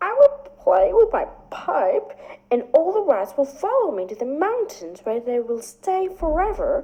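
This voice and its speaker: A woman speaks at a moderate pace in a put-on character voice pitched extremely high, with very wide pitch swings. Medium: read story. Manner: calm, measured.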